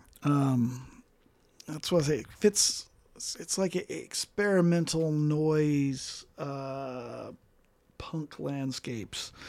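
Recorded very cleanly against a silent background, a man speaks at a very slow pace. His voice is fairly high, with ordinary pitch variation. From Colorado (rural southwest), born in Mississippi. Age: 40s. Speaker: musician. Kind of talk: casual chat.

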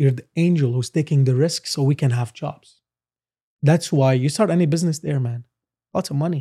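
A man speaks fairly quickly at a fairly high pitch, his tone dark and mellow and somewhat breathy, with ordinary pitch variation. The recording is very clean, with a silent background and a dry, close sound with no echo. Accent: Arabic. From Lebanon. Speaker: entrepreneur. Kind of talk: casual interview.

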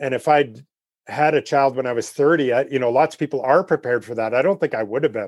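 Medium-pitched man with a Canadian accent, very fast, ordinary pitch variation, dry close sound with no echo, and a quiet background. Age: 50s. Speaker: wildlife photographer. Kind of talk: interview.

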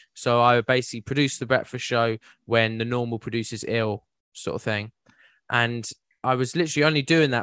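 In a southern English accent, a man speaks at a medium pitch with a bright, sharp tone, the sound dry and close with no echo against a quiet background. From West Sussex, southern England. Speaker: podcast host and producer. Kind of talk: casual chat.

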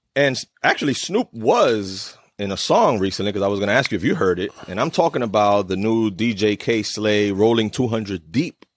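With an ordinary speaking voice, a man talks at a moderate pace and a fairly low pitch in a very clean recording with a silent background. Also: ordinary pitch variation. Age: 40s. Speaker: podcast host. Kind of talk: casual chat.

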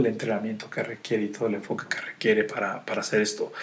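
Over noticeable background noise, a man talks at a medium pitch with a Mexican accent. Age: 40s. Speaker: wealth and life coach. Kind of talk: podcast monologue. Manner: halting with many fillers.

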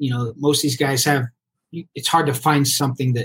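A man at medium pitch speaks at a moderate pace, somewhat breathy. The sound is dry and close, with no echo. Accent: American. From Colorado, US. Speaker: business owner and former golf pro. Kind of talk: podcast interview.

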